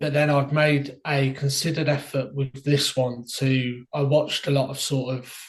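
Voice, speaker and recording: A man's fairly high, somewhat breathy voice with fairly even intonation. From Birmingham, England (Solihull side). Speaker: indie author. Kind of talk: interview.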